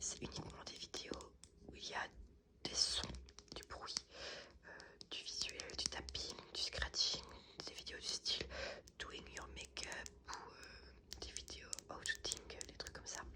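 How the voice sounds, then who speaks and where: Whispering, a woman speaks at a very slow pace with long, frequent pauses. Her loudness swings widely over noticeable background noise. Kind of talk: casual talk to camera, ASMR channel update. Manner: soft-spoken, ASMR style.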